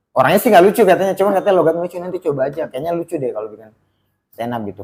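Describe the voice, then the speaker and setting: A man is speaking. His intonation is lively. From Baubau, Southeast Sulawesi, eastern Indonesia. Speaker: stand-up comedian. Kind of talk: casual podcast interview. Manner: conversational, storytelling.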